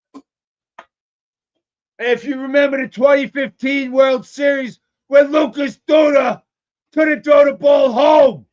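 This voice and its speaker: Shouting at an extremely high pitch, a man with an American accent talks at a fairly slow pace with fairly even intonation and long, frequent pauses. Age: 60s. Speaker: sports fan show host. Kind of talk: live-streamed fan rant. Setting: live stream from a smoke shop.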